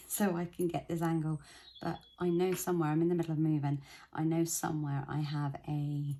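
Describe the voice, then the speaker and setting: A quiet woman's voice, fairly low and dark and mellow in tone, at a moderate pace with fairly even intonation. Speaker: budgeting vlogger. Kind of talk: casual vlog tutorial. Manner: hesitant.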